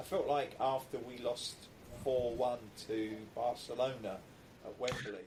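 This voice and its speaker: A man with an English accent speaks at a fairly slow pace, leaving long, frequent pauses. His intonation stays fairly even, and there is noticeable background noise. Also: medium pitch for a man. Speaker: football podcast host. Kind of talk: scripted intro; casual chat.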